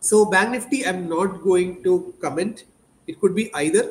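A man speaks with a high pitch. Its movement is ordinary. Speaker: market analyst show host. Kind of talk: commentary. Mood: joking, then analytical. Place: home room.

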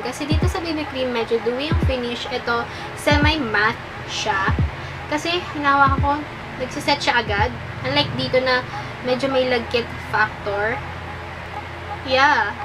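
Noticeable background noise sits behind the speech. The speaker keeps a moderate pace with ordinary pitch variation but pauses long and often. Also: woman, high pitch for a woman. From Philippines. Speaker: beauty vlogger. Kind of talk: casual product review to camera. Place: home room. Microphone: camera far.

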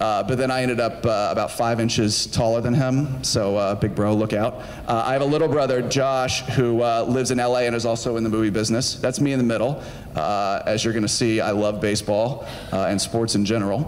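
A man with an American accent, moderate pace and fairly even intonation. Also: very even loudness. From US South, Georgia (Marietta); Georgia. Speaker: film studio executive; guest lecturer. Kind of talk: lecture to students; lecture. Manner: casual, conversational with fillers. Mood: relaxed, friendly, humorous. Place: stage. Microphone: handheld.

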